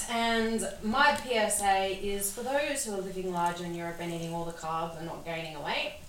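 Noticeable background noise sits behind a woman of medium pitch speaking at a fairly slow pace. Her intonation is lively, and her loudness swings widely. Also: hardly any pauses. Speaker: podcast co-host. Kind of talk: heated comedic rant, ranting about Europe travel posts. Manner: angry, loud, exasperated, emphatic with swearing and sarcasm; animated, punctuated by laughter.

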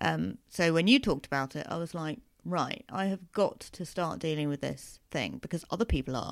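In a very clean recording with a silent background, a woman speaks with a very deep, low pitch, vocal fry, and very wide pitch swings. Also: moderate pace, hardly any pauses. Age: 30s. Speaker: comedian. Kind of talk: interview.

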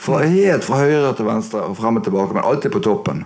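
A man speaks with a Bergen accent at a moderate pace. His pitch swings very widely over noticeable background noise. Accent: Bergen Norwegian. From Bergen, Norway. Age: 60s. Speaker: guitarist and producer. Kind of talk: live interview. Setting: record shop with live audience. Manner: soft-spoken.

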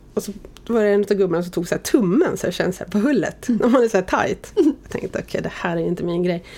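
Over noticeable background noise, a woman with a medium-pitched voice speaks fairly quickly with lively intonation. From Sweden, Oxelösund. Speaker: media executive. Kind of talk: interview.

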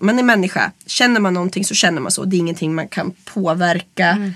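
A plain, everyday voice from a woman at medium pitch, fairly even in intonation and fairly quick in pace. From rural Sweden. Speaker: burlesque performer and club producer. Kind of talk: interview.

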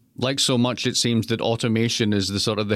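In a Scottish accent, a man talks at a very fast pace with medium pitch and ordinary pitch variation. The recording is very clean, with a silent background. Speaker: economics professor, stand-in podcast host. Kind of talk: podcast interview discussion.

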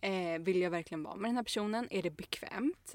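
In an unremarkable speaking voice, someone talks at a fairly quick pace with ordinary pitch variation. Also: woman. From Stockholm, Sweden. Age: 20s. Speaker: podcast co-host. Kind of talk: casual chat.

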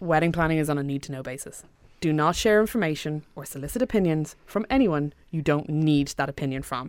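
A woman with an Irish accent speaks at a fairly quick pace in a very deep, low pitch with ordinary pitch variation, on a very clean recording with a silent background. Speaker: website co-founder. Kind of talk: interview.

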